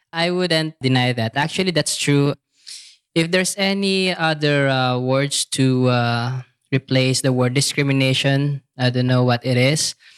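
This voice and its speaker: Recorded dry and close with no echo, a man with a Filipino accent speaks at a fairly slow pace and medium pitch, with ordinary pitch variation and very even loudness. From Philippines. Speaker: teacher and stand-up comedian. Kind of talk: casual interview.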